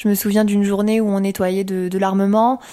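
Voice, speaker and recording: At a fairly slow pace, a woman speaks at a medium pitch with a dark, mellow tone in a very clean recording with a silent background. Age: 20s. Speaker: former soldier. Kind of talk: testimony. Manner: halting.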